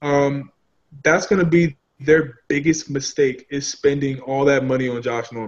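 This man has an ordinary speaking voice with a fairly high pitch. He speaks at a moderate pace with fairly even intonation. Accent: American. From Philadelphia. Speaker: sports podcast panelist. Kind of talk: casual sports talk show.

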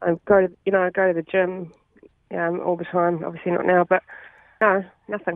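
A woman with a New Zealand accent, fairly low-pitched, in a flat monotone at a fairly quick pace with long, frequent pauses. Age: 40s. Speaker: caller, COVID patient. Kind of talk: phone-in interview. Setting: phone call.

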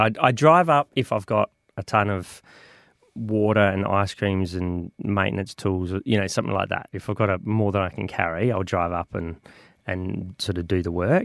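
At a moderate pace, a man with an Australian accent speaks in a fairly low voice with ordinary pitch variation, the sound dry and close with no echo in a very clean recording with a silent background. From Australia, Adelaide. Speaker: volunteer tower caretaker. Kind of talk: radio interview.

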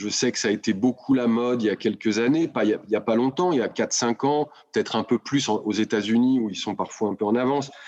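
A man with a normal speaking voice at medium pitch, fairly quick pace and hardly any pauses, against a quiet background. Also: ordinary pitch variation. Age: 50s. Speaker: business executive. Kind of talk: interview.

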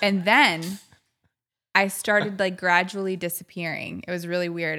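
In a very clean recording with a silent background, a woman with an American accent speaks at a moderate pace and medium pitch in a bright, sharp tone. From Chicago. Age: 30s. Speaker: sports broadcaster. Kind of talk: casual chat.

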